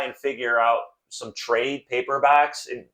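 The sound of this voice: Against a quiet background, the reading voice sounds unforced, and the intonation stays fairly even.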